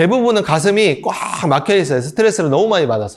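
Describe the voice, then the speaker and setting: Speaking at a fairly quick pace, a man uses a high pitch that moves in very wide swings. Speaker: breathing and meditation instructor. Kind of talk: lecture. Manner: fast.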